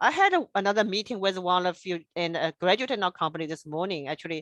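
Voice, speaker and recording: Speaking very fast with lively intonation, a woman with a strong non-native accent is heard in a dry, close sound with no echo. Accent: strong foreign. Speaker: engineer and presenter. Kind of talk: presentation. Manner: halting, non-native phrasing.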